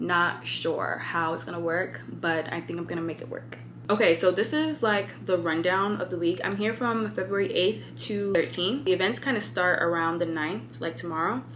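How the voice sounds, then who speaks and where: A woman with an American accent, fairly low-pitched with lively intonation, at a moderate pace with hardly any pauses, plus audible room echo and noticeable background noise. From California. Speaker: fashion influencer vlogger. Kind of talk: casual vlog. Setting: hotel room. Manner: animated.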